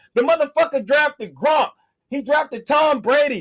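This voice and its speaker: A loud man at a moderate pace, his pitch extremely high. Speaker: sports podcast co-host. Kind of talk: heated debate.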